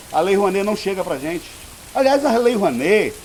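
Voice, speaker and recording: A man's high-pitched voice comes through noticeable background noise at a moderate pace. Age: 50s. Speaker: theatre director and cultural producer. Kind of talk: interview. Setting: historic house, heavy rain outside. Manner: halting, many repetitions and fillers.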